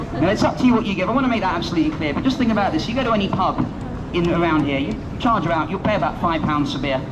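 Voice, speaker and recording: Amid noticeable background noise and audible room echo, a man talks at a very fast pace in a high pitch with lively intonation. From London. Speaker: street magician. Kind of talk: street performance. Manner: animated.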